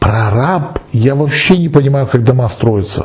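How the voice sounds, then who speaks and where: Amid audible room echo and noticeable background noise, a man speaks fairly slowly at a fairly high pitch. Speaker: esoteric video blogger answering viewer questions. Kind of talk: monologue answering a viewer question.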